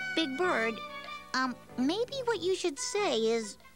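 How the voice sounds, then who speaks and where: In a put-on character voice, a woman speaks very slowly at an extremely high pitch with very wide pitch swings, over clear music in the background. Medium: read story. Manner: gentle, patient.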